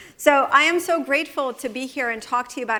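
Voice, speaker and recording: At a fairly quick pace, a woman speaks in a high pitch with ordinary pitch variation. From Russia (former Soviet Union). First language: Russian. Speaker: author and speaker. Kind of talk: motivational talk. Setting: stage with audience.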